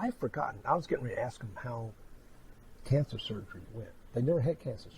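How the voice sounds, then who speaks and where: A somewhat breathy man at a very fast pace, with big swings in loudness and long, frequent pauses. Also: medium pitch for a man, ordinary pitch variation. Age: 60s. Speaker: clairvoyant medium. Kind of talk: psychic reading and interview chat.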